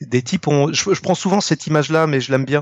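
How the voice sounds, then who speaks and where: Male speech over a quiet background, pitch varying in an ordinary way. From Brittany, France (Ille-et-Vilaine). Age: 40s. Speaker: comic book artist. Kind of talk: casual chat. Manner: talkative, long-winded.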